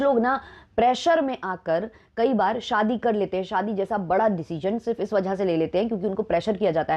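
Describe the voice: A woman's medium-pitched voice, dark and mellow in tone, at a fairly quick pace with few pauses and ordinary pitch variation.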